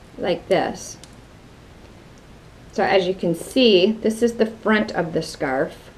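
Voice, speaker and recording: A very slow delivery with a Wisconsin accent, against noticeable background noise. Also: woman. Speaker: craft video host. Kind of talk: tutorial. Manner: casual, conversational.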